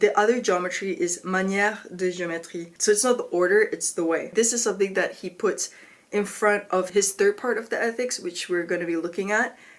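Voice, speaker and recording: A woman talks at a fairly quick pace with hardly any pauses. Her pitch is medium and her intonation fairly even. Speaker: philosophy video creator. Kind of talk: educational explainer. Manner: casual, filler-heavy (like, um); stumbling articulation today.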